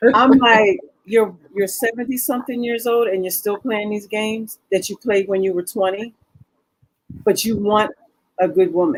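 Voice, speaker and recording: A woman's fairly high voice, an ordinary speaking voice, at a moderate pace with ordinary pitch variation. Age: 60s. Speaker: businesswoman discussing dating. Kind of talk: talk show discussion. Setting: studio.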